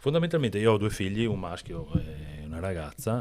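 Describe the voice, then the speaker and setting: The speaker is a man going at a fairly quick pace. His recording is very clean, and the background is silent. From Veneto, northeast Italy. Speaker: entrepreneur, company founder. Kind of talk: podcast interview. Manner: halting, many restarts.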